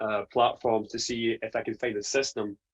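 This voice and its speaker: In a dry, close sound with no echo, a man with a Scottish accent speaks at a fairly slow pace. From Scotland. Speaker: print business owner. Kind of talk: testimony.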